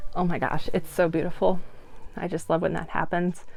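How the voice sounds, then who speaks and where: Soft-spoken and at a moderate pace, a woman uses a medium pitch with music in the background. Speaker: doll artist. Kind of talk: tutorial.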